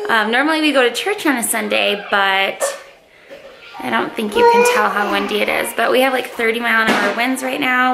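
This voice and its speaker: A woman at a fairly quick pace, under loud background noise. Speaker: home vlogger. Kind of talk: casual vlog chat. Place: home room. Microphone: phone near.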